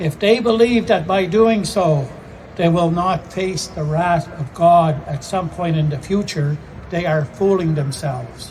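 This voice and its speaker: Solemn in tone, a man speaks at a high pitch and a fairly slow pace with ordinary pitch variation. Noticeable background noise runs beneath him. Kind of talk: vigil speech.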